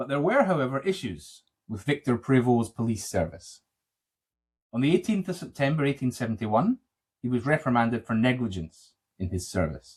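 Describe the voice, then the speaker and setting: In a Scottish accent, a man speaks at a fairly quick pace. His pitch swings very widely. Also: medium pitch for a man. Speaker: podcast host. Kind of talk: true crime podcast narration and chat. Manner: loud, can't whisper.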